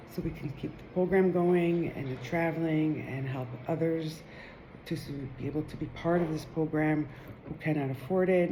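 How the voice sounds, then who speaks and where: Against audible room echo, a woman with a very deep, low pitch and a dark, mellow tone speaks with fairly even intonation. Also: moderate pace. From Israel. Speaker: Torah teacher. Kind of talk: video introduction. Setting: live recording.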